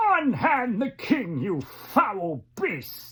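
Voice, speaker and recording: Here is a put-on character voice, female-sounding and fairly high in pitch. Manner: bold, heroic.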